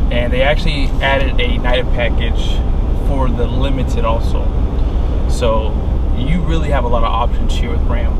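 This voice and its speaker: The man speaks at a moderate pace, and the sound is dry with no echo. Loud background noise runs behind him. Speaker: truck reviewer. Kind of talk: casual vlog chat. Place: car. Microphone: phone near.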